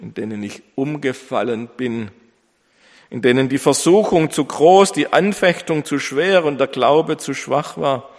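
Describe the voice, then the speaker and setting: A man with a warm, dramatic tone at medium pitch, very slow in pace, with lively intonation, on a very clean recording with a silent background. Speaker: pastor. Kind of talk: sermon. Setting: church. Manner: earnest, emphatic preaching, building in dramatic rhetorical pauses; formal, warm pastoral tone addressing congregation.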